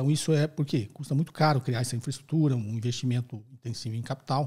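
Over a quiet background, a man speaks at a fairly quick pace with fairly even intonation. His tone is dark and mellow and somewhat breathy. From Brazil. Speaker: finance professor and podcast host. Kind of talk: educational Q&A podcast. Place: studio. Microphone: studio mic.

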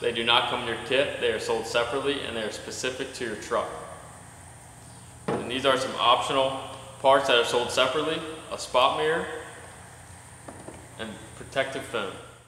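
Over light background noise and audible room echo, a man talks at a fairly quick pace with fairly even intonation. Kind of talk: tutorial. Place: workshop.

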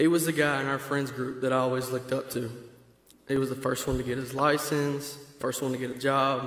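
In a Georgia accent, a man talks at a very fast pace with a medium pitch and monotone, flat intonation, with audible room echo around him. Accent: Southern American (Georgia). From Georgia, US South. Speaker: friend of the deceased. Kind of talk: reading a prepared eulogy. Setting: church funeral service. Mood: solemn, grieving. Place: church.

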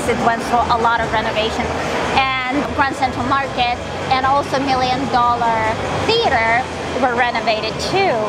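Long, frequent pauses break up the speech, with music in the background. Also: woman, moderate pace. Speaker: travel vlogger. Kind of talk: casual vlog chat. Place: market. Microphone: phone near.

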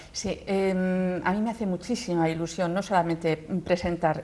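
Dark, mellow tone from a woman pitched fairly low. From Vigo, Galicia; Galicia. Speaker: classical singer; guest. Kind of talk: interview answer. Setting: TV studio. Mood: warm, enthusiastic. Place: studio. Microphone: lapel.

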